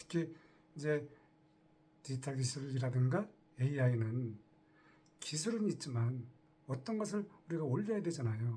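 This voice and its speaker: This man's dark, mellow, somewhat breathy voice moves at a moderate pace with lively intonation and long, frequent pauses. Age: 60s. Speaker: retiree turned online entrepreneur. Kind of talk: casual talk to camera.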